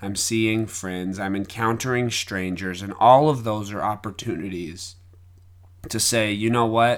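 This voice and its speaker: A man's fairly low, plain, everyday voice at a fairly slow pace with fairly even intonation, on a very clean recording with a silent background. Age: 30s. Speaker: podcaster, devotional speaker. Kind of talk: reflective solo monologue.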